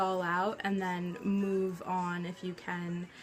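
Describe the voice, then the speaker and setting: With music playing in the background, a woman speaks at a medium pitch. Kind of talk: casual talk to camera.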